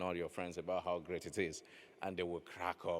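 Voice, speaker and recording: With a Nigerian accent, a man speaks at a very deep, low pitch. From Nigeria, west. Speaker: novelist. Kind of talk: panel discussion. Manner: halting, many fillers and repetitions.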